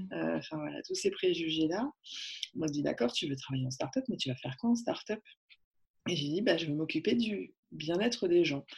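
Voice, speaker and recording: The speaker talks at a moderate pace with vocal fry and very wide pitch swings. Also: woman, very deep, low pitch for a woman. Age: 30s. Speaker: workplace wellbeing consultant. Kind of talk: interview. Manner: hesitant, many fillers.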